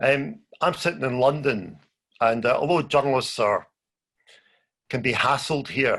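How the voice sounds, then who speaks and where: With a strong Scottish accent, a man talks at a fairly high pitch and a fairly slow pace, with ordinary pitch variation and long, frequent pauses. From Scotland. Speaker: journalist. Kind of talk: conference talk. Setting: video call.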